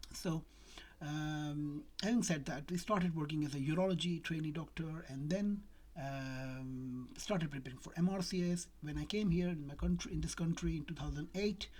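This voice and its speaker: With a non-native accent, a woman speaks in a somewhat breathy voice at a very deep, low pitch. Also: ordinary pitch variation, moderate pace. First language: not English. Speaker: doctor. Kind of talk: casual talk to camera. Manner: hesitant, many fillers.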